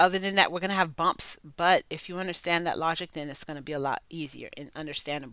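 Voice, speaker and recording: Very fast, nearly pauseless speech in a bright, sharp tone with big swings in loudness, on a very clean recording with a silent background. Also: woman, fairly low pitch for a woman, fairly even intonation. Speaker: podcast host on self-development. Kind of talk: solo monologue, motivational talk. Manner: casual, conversational.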